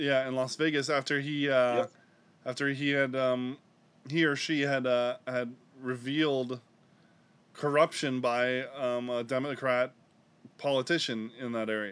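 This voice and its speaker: Flat, monotone speech from a man at medium pitch, broken by long, frequent pauses. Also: fairly slow pace. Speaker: podcast host.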